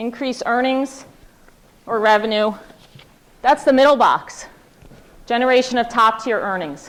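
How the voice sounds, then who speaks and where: Loud and high-pitched, a woman speaks with ordinary pitch variation and long, frequent pauses. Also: moderate pace. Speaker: corporate speaker at student event. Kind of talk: presentation to students.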